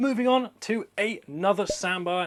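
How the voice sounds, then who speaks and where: A man with a British accent speaks at a high pitch, his voice swinging very widely up and down. The recording is very clean, with a silent background. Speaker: reptile keeper and breeder. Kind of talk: casual presentation, room tour. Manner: fast.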